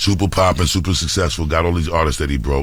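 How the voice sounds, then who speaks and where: Music plays behind a man whose resonant voice sits at a very deep, low pitch with ordinary pitch variation. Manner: calm.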